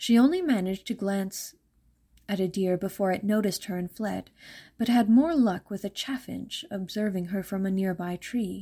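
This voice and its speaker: Recorded very cleanly against a silent background, a woman speaks in a medium-pitched, dark, mellow, somewhat breathy voice with ordinary pitch variation. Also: moderate pace. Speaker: audiobook narrator. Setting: podcast, solo recording. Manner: soft-spoken.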